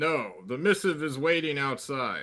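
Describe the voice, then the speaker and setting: A man puts on a character voice with a fairly high pitch. He goes at a moderate pace in a very clean recording with a silent background. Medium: actual play. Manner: brusque, impatient.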